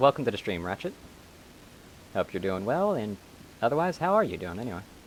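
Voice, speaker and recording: Very wide pitch swings run through a man's very fast speech. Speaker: video game streamer. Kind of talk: live gameplay commentary. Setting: live stream.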